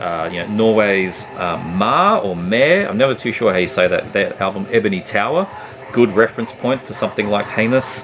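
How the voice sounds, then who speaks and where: A man speaks with an Australian accent at a moderate pace. Noticeable background noise runs behind him. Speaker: music collector YouTuber. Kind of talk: casual review vlog. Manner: hesitant, many fillers.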